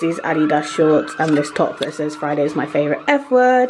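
A woman speaks at a very deep, low pitch with very wide pitch swings. Noticeable background noise is present. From United Kingdom. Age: young. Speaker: events management student. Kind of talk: casual vlog talk to camera. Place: home room. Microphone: phone near.

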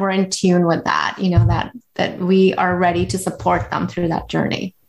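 A woman with an American accent speaks at a moderate pace. She has a medium pitch and a plain, everyday voice. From India, raised from 12 in Washington DC area. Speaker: physician. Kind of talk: interview.

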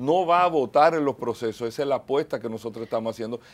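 A man speaks with a lively, bouncing intonation. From Dominican Republic. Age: 40s. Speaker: mayoral candidate; candidate. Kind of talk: TV interview. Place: studio. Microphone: lapel.

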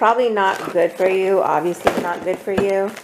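At a moderate pace, a woman talks at a medium pitch with ordinary pitch variation over faint background noise.

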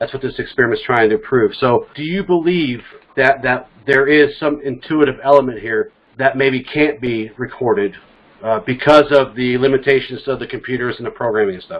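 The speaker is a man with ordinary pitch variation. He keeps a moderate pace. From California. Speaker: podcast host. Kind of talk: casual discussion. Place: home room.

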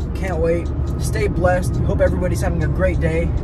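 Loud music plays in the background as a man speaks, his voice dry with no echo. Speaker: student vlogger. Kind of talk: casual vlog chat. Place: car.

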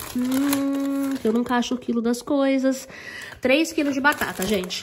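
Light background noise lies under a woman's fairly slow delivery. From Brazil. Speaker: vlogger. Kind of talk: casual vlog chat. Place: home room. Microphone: phone near.

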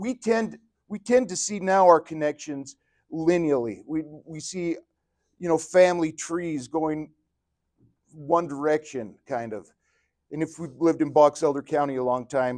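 A man talks at a moderate pace with ordinary pitch variation, big swings in loudness and long, frequent pauses against a quiet background. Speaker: religion teacher. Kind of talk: lecture. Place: classroom.

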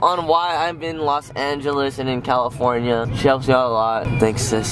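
Noticeable background noise accompanies a man speaking at a moderate pace with ordinary pitch variation, the sound dry with no echo. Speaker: vlogger. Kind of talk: casual vlog chat. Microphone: phone near.

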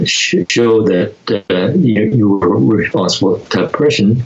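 A man talks at a very slow pace with an American accent and a fairly low pitch. His pitch varies in an ordinary way, and there is noticeable background noise. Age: 80s+. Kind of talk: interview answer. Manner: halting, hesitant.

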